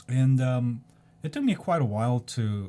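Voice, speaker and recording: A somewhat breathy man at medium pitch, with ordinary pitch variation, in a very clean recording with a silent background. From South Korea. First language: Korean. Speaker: video blogger. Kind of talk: casual monologue. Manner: hesitant, many ums.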